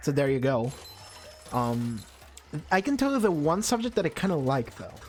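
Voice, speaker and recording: Over music in the background, a man talks at a moderate pace in a fairly high pitch. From Argentina. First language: Spanish. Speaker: gaming streamer. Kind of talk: casual chat. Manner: animated.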